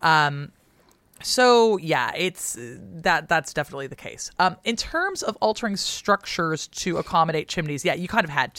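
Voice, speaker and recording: Speaking at a moderate pace with an American accent, the voice has an animated tone, lively intonation and big swings in loudness, in a very clean recording with a silent background. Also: woman, fairly low pitch for a woman. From US West Coast. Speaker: historian, podcast co-host. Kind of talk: casual chat and historical explainer.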